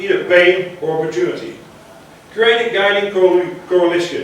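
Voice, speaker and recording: A man speaks with a high pitch. The room echo is audible and there is noticeable background noise. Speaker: conference speaker on agile transformation. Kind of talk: conference talk. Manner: fast.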